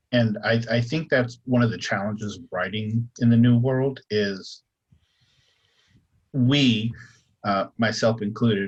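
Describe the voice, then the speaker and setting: Somewhat breathy speech at a fairly slow pace comes with an American accent, fairly even intonation and big swings in loudness. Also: man. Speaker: author on a convention panel. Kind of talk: panel discussion. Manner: hesitant, many fillers.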